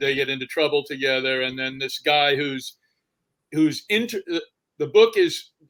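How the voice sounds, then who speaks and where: A man is speaking at a moderate pace. His pitch is fairly high. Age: 60s. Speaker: novelist. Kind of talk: interview. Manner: halting.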